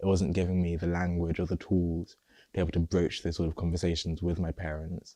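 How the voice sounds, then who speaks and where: A man's very deep, low voice with a dark, mellow tone and a southern English accent, flat and monotone, at a moderate pace. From England, Luton, Nigerian family. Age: 20s. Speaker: interviewee sharing personal story. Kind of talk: personal testimony interview. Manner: halting, some repetitions.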